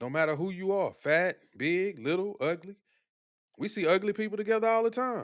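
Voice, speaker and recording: High-pitched male voice at a moderate pace, on a very clean recording with a silent background. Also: ordinary pitch variation. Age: 40s. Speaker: streamer. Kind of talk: live stream chat commentary. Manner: casual, conversational.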